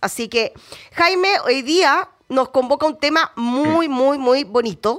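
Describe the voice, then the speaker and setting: Lively intonation from a woman pitched high, unfolding at a fairly slow pace. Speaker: radio host. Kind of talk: radio interview.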